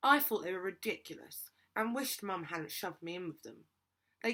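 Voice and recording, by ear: Someone reads aloud in a natural voice with lively intonation over a quiet background.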